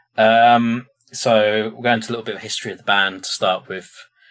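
A man with a British accent, medium pitch and monotone, flat intonation. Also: big swings in loudness. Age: 30s. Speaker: podcast host, metal fan. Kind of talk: casual chat.

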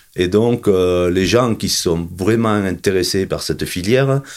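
His pitch is very deep and low. The man's pitch variation stays ordinary. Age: 50s. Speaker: sheep farmer and festival organiser. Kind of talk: interview. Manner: halting, many repetitions.

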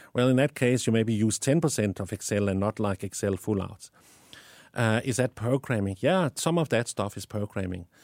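In a very clean recording with a silent background and a dry, close sound with no echo, a man speaks at a moderate pace with a medium pitch and ordinary pitch variation. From Denmark. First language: Danish. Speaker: tech company founder. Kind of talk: interview. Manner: animated, passionate; halting with many fillers.

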